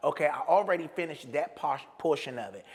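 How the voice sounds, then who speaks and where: A man with an American accent, lively intonation and a fairly quick pace. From Washington, D.C. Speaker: playwright, comedian and actor. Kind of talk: interview answer. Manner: casual, animated, profane.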